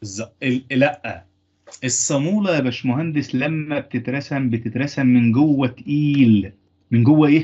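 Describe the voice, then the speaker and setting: Very slowly, a man talks in an Egyptian accent. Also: fairly high pitch for a man, ordinary pitch variation. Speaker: engineering lecturer. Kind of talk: lecture.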